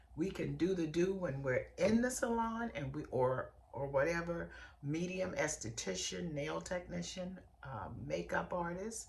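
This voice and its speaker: A woman talks at a fairly slow pace in an animated tone. Audible room echo and noticeable background noise surround her. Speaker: podcast host and beauty industry coach. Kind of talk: podcast monologue.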